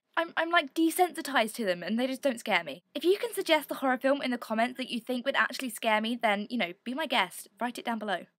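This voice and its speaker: A woman with an English accent and a high pitch, very fast with hardly any pauses, lively intonation, in a dry, close sound with no echo. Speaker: video blogger. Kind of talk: vlog monologue. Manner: animated.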